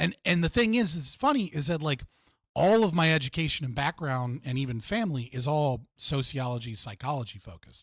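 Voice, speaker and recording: A man with an American accent talks at a fairly quick pace and fairly high pitch. His lively intonation comes through a somewhat breathy voice. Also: very clean recording, silent background. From United States. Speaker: livestream host. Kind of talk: interview discussion. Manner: fast, verbose.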